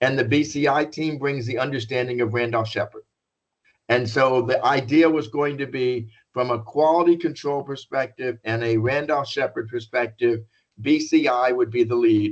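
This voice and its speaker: A man has an unremarkable speaking voice, pitched medium, with fairly even intonation. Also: moderate pace. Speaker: business consultant presenting a contract bid. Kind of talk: informational presentation. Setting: conference call.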